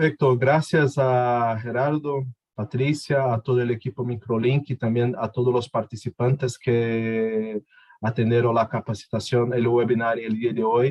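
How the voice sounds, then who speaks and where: In a Portuguese accent, a man talks at a fairly slow pace with monotone, flat intonation. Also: medium pitch for a man, very even loudness. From Brazil. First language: Portuguese (speaking Spanish). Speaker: technical presenter. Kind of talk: webinar closing remarks.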